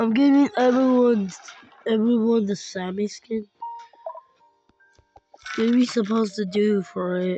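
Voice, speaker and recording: Speech comes at a fairly slow pace with long, frequent pauses. Music plays in the background. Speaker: gaming streamer. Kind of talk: casual gaming commentary. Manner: excitable, loud reactions.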